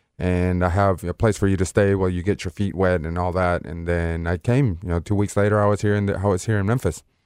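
A man with a Spanish accent and a very deep, low pitch talks at a very fast pace with hardly any pauses, on a very clean recording with a silent background. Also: fairly even intonation. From Venezuela (Caracas). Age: 30s. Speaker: soccer referee. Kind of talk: interview.

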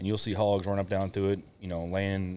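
Speech rushes by at a very fast pace. The tone is dark and mellow, with a Kentucky accent. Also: man. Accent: Southern US (Kentucky). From Kentucky, US South. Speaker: army veteran and hunter. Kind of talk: casual chat.

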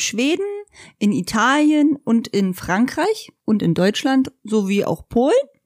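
Fairly slow and fairly high-pitched, a woman talks in a normal speaking voice, captured with a dry, close sound with no echo. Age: 30s. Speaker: motorhome traveller. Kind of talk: casual chat. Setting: living room, rain outside.

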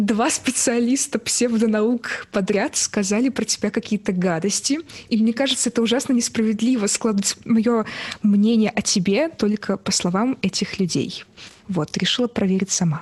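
Over noticeable background noise, a woman speaks at fairly high pitch and a moderate pace. Her loudness stays very even, and her pitch varies in an ordinary way. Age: 20s. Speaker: singer. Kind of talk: casual chat.

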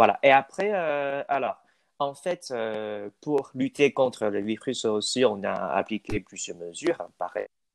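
A man with a medium-pitched voice speaks very slowly, using lively intonation. The sound is dry and close with no echo, over a quiet background. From Taiwan. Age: young. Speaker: student, aspiring French teacher. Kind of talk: interview. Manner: halting.

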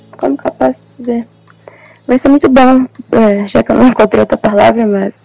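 Long, frequent pauses mark a woman's speech, which has ordinary pitch variation. The sound is dry and close with no echo, and music plays in the background. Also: fairly high pitch for a woman, moderate pace. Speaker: psychology student. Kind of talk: casual chat. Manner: halting.

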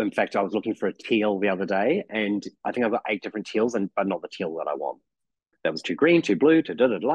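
With a New Zealand accent, a man with a fairly low voice speaks at a very fast pace with lively intonation. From New Zealand, living in Melbourne. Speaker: podcast guest, crafter. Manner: chatty, rambling storyteller.

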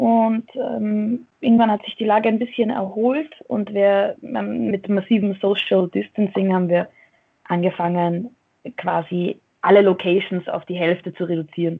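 Here is an unremarkable speaking voice from a woman at a medium pitch. She goes at a fairly slow pace with ordinary pitch variation. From Austria, Vienna. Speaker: professional wrestler. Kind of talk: casual interview. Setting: remote call from a dojo office.

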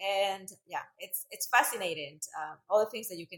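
A woman with a Central American Spanish accent talks at a moderate pace with ordinary pitch variation. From Central America (El Salvador, raised in Costa Rica). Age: 30s. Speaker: fitness instructor and business owner. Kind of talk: casual interview.

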